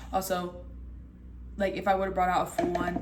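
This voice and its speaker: A woman moves at a fairly quick pace, her voice carrying audible room echo over noticeable background noise. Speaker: cooking video creator. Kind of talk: casual cooking tutorial. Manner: fast; animated.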